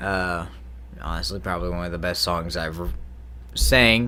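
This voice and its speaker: A man speaks loudly. His voice carries vocal fry. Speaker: singer-songwriter YouTuber. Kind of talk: casual vlog talk.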